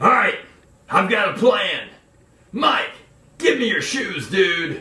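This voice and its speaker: A man's put-on character voice, extremely high in pitch and fairly slow, with a slight echo. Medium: comedy sketch.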